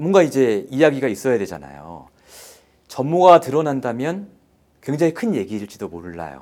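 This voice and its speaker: At a moderate pace, a man of medium pitch makes very wide pitch swings and big swings in loudness. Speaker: investigative reporter. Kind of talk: interview explaining an investigation.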